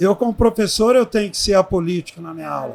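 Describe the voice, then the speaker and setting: A man's high-pitched voice with lively intonation. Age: 70s. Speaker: aquatics professor. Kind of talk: interview. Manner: animated.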